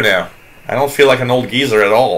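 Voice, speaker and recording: The speaker has a slight French Canadian accent. The pace is fairly quick. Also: man. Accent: slight French-Canadian accent on some words. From Quebec. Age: 40s. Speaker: radio hobbyist livestream host. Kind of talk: casual chat. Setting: live stream with chat room. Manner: halting.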